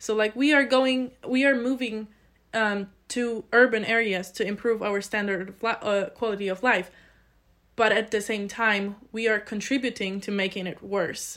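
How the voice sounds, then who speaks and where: The speaker has a Polish accent and keeps a moderate pace with fairly even intonation. The recording is very clean, with a silent background. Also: woman. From Poland, small village. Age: 20s. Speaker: student, committee chair. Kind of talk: interview.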